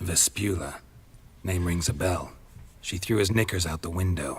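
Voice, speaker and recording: A man does a put-on character voice with a very deep, low pitch at a moderate pace. The recording is very clean, with a silent background. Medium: video game. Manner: terse, deadpan, dry.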